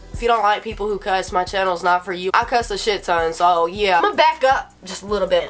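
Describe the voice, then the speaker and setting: Music plays in the background as a woman talks at a very fast pace with hardly any pauses. Her pitch is medium, with ordinary variation. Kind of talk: casual storytime talk to camera. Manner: rambling, profane.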